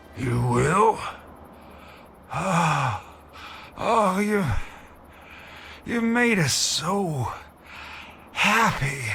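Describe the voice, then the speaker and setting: A put-on character voice at a middle pitch and very slow pace, with long, frequent pauses and clear background noise. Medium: video game. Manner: rambling, good-natured.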